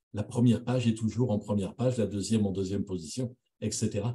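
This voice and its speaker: His voice has a dark, mellow tone and is somewhat breathy. The man keeps a moderate pace, with ordinary pitch variation. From France. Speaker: radiology professor. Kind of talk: lecture. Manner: halting.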